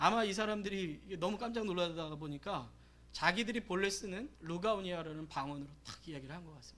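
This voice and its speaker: A man speaks high and fast-ish, at a fairly quick pace, in a bright, sharp tone with ordinary pitch variation. His loudness swings widely, and the room echo is audible. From South Korea, Gyeonggi Province. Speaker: pastor. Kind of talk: sermon.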